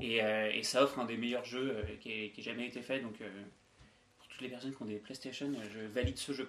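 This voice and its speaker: A man speaks at medium pitch and a moderate pace. His loudness swings widely while his intonation stays fairly even. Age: 20s. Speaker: podcast co-host, flatmate. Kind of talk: casual chat. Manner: halting.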